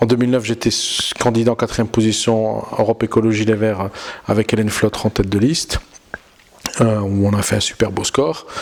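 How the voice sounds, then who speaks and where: A man's fairly low, monotone, flat voice over noticeable background noise. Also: fairly quick pace. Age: 30s. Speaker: politician. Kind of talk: campaign interview. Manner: halting, with self-corrections.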